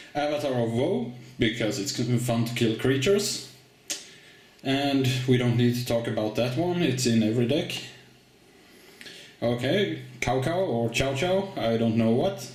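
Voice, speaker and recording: Over noticeable background noise, a man of medium pitch speaks at a fairly slow pace with ordinary pitch variation and long, frequent pauses. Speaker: card game video host. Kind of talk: casual talk to camera.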